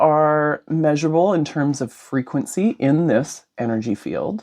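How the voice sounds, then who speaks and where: Against a quiet background, a woman speaks with a very deep, low pitch and ordinary pitch variation. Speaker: podcast host. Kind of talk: conversational interview. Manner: loud.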